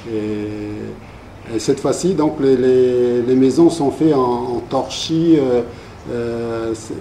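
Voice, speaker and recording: Over noticeable background noise and audible room echo, a man with a medium pitch talks very slowly with ordinary pitch variation. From New Caledonia (Vietnamese community, Thio mining villages, Nouméa). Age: 60s. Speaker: community elder recounting life history. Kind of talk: interview, oral history. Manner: halting, many hesitations and repetitions.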